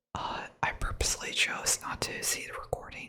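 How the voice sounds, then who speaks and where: A whispering voice moves along at a fairly slow pace. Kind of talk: ASMR whispered rambling. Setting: close studio microphone. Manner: whispered, soft-spoken.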